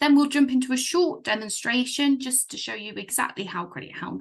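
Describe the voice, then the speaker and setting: With a British accent, a somewhat breathy woman speaks at a medium pitch. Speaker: software partner manager presenting a product. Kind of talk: webinar product presentation. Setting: video call webinar. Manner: hesitant, many fillers.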